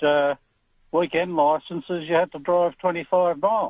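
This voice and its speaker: With an Australian accent, a man speaks at a fairly slow pace, his pitch fairly high and his intonation fairly even. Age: 60s. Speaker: caller. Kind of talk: talkback radio call.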